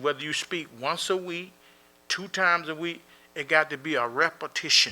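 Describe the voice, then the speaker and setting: A man with a fairly high pitch and a bright, sharp tone at a moderate pace, on a very clean recording with a silent background. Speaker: imam. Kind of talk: Q&A talk.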